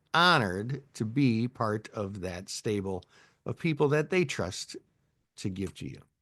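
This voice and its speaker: A man speaks with a Midwestern accent at a fairly slow pace. The sound is dry and close with no echo, over a quiet background. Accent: Midwest US. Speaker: options trading educator. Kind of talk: live webinar tutorial. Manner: casual, chatty.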